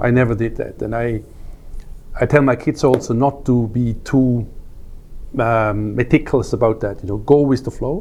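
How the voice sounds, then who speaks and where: This is a man's voice. His pitch is medium. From Switzerland. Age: 60s. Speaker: wealth manager and football coach. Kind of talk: interview. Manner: hesitant, with fillers and repetitions.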